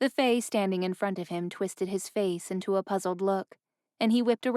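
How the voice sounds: Quiet surroundings and a natural reading voice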